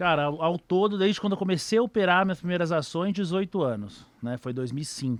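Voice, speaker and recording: A man speaks at a moderate pace in a high pitch, with lively intonation and hardly any pauses. The sound is dry and close, with no echo. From São Paulo, Brazil (east zone). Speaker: trader. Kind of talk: casual interview chat.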